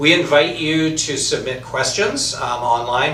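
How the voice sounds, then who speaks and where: Audible room echo and noticeable background noise accompany a man as he talks. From US, San Francisco Bay Area. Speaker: eye surgeon hosting a livestream. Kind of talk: interview on a livestream. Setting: Facebook live stream.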